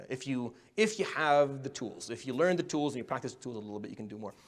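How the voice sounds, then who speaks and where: Talking at a very fast pace in an Arabic accent, a man uses a fairly high pitch with very wide pitch swings. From Middle East. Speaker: imam and public speaking teacher. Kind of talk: workshop lecture. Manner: stuttering.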